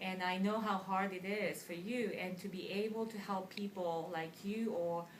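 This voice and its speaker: In a Japanese accent, a woman of medium pitch speaks with fairly even intonation amid audible room echo and noticeable background noise. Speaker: ESL teacher. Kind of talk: interview.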